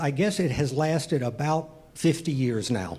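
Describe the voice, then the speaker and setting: A man with lively intonation amid audible room echo. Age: 60s. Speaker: amateur stand-up comedian. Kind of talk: stand-up. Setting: comedy club stage with audience. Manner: halting, many fillers and repeats.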